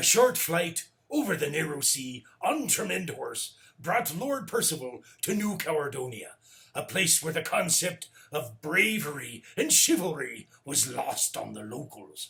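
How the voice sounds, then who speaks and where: A put-on character voice comes through at a fairly slow pace. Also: man, fairly high pitch for a man. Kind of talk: comic pirate host, bedtime story. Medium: read story.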